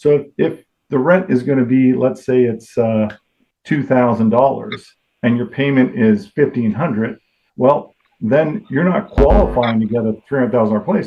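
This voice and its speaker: In an ordinary speaking voice of medium pitch, a man talks at a moderate pace with lively intonation. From Toronto, Canada. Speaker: mortgage lender. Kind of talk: podcast interview answer.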